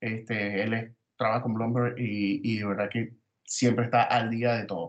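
A Venezuelan accent at a fairly slow pace. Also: man. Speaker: podcast host. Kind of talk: casual chat.

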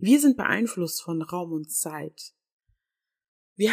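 A woman speaks in a warm tone at a medium pitch. Her intonation is lively. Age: 20s. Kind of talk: faith-based monologue. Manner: warm, personal.

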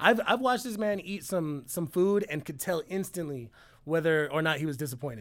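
In a very clean recording with a silent background, a man with an unremarkable speaking voice talks fairly quickly, his fairly high pitch carried by lively intonation. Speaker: rapper. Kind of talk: casual chat with friends.

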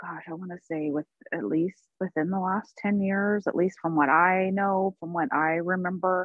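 With an American accent, a woman of medium pitch speaks at a moderate pace with fairly even intonation in an unremarkable speaking voice. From US Pacific Northwest, Portland. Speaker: nonprofit health worker, marathon runner. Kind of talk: personal testimony in interview.

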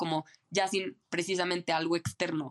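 A woman's unremarkable speaking voice, fairly low in pitch, fairly slow and fairly even in intonation, with a dry, close sound and no echo. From Mexico City. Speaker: traveler, former nomad. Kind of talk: interview conversation.

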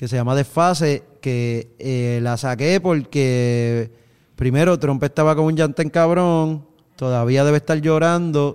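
A man speaks at a fairly slow pace with a fairly high pitch and ordinary pitch variation in a plain, everyday voice. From Puerto Rico, countryside. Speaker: musician. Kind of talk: casual chat.

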